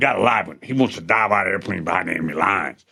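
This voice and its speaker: Words come from a man at a very fast pace. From Louisiana. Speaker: podcast host, Special Forces veteran. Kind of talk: casual interview conversation. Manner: animated storytelling.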